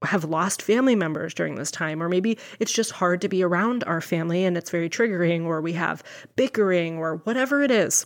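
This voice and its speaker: Speaking in a plain, everyday voice, a woman uses a fairly low pitch with ordinary pitch variation at a moderate pace. The recording is very clean, with a silent background. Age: 30s. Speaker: nurse and health coach podcast host. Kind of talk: solo podcast monologue. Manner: warm, upbeat.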